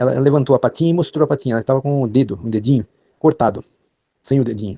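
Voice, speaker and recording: A man talks at a very fast pace, with medium pitch and ordinary pitch variation. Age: 70s. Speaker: storyteller sharing a personal account. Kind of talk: personal testimony. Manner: halting, with hesitations and repetitions.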